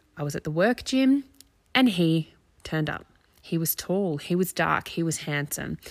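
A woman with an Australian accent speaks slowly-ish at a fairly slow pace and a fairly low pitch, her intonation lively on a very clean recording with a silent background. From Australia, near Canberra. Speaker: parenting coach and podcast host. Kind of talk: personal monologue.

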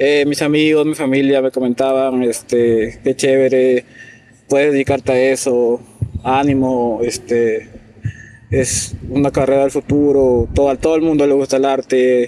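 A man speaks at a medium pitch and a fairly slow pace, his intonation monotone and flat and his loudness very even. Noticeable background noise runs underneath. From Peru, Piura. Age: 20s. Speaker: illustrator. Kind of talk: interview.

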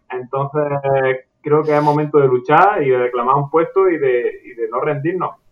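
In a normal speaking voice, a man talks at a moderate pace with fairly even intonation and hardly any pauses. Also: fairly high pitch for a man. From Andalusia. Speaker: psychology student. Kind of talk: casual interview chat.

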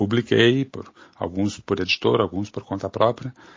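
Fairly low pitch from a man, varying in an ordinary way. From southern Brazil, Bagé on the Uruguay border. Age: 40s. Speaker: writer and editor. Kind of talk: interview. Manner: halting, many fillers.

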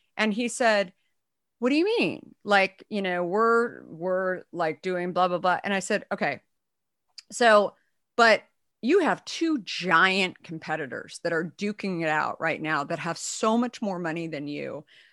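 In a normal speaking voice with an American accent, a woman of medium pitch talks fairly slowly with lively intonation, her sound dry and close with no echo against a quiet background. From Arizona, US. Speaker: entrepreneur and author. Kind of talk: interview.

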